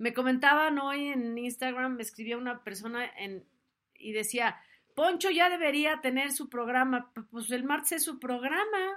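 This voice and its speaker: A woman with a Mexican accent speaks at a fairly slow pace in a high, bright, sharp voice, with an animated tone, lively intonation and big swings in loudness. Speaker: talk show host. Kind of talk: casual chat. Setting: live stream.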